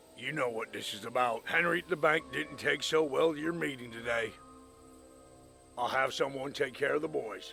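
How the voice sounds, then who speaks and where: Clear background noise runs behind a man using a raspy, put-on character voice at a fairly high pitch. His pace is moderate. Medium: short film.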